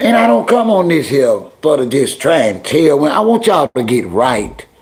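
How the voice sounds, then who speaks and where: Over noticeable background noise, a man with a fairly high pitch speaks at a moderate pace, his loudness very even while his pitch swings very widely. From New York, the Bronx. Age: 50s. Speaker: livestream host. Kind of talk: casual chat. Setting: livestream. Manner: animated.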